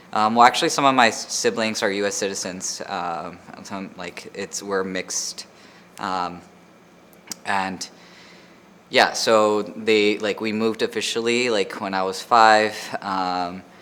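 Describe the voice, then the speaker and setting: Over noticeable background noise, a man with an American accent and a fairly low pitch speaks at a fairly slow pace with fairly even intonation and long, frequent pauses. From Laredo, Texas (US–Mexico border). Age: 30s. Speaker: artist and educator. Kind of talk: interview. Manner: hesitant with many fillers.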